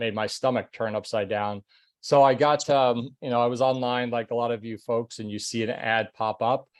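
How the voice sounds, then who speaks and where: In a quiet background, a man speaks at medium pitch and a moderate pace with monotone, flat intonation. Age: 60s. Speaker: retired corporate manager turned online entrepreneur. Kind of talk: testimony.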